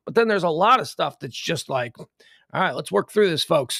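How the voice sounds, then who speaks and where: A man's voice with vocal fry comes through dry and close with no echo, on a very clean recording with a silent background. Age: 50s. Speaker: podcast host. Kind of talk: live news talk show. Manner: animated.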